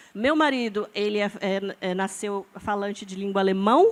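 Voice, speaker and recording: Pitched fairly high, a woman speaks with ordinary variation in her pitch. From Brazil, born in Amazonas, lived in many regions, settled in São Paulo. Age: 40s. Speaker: scientist and biohacker artist, panelist. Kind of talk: panel discussion. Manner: animated, casual with fillers and repetitions.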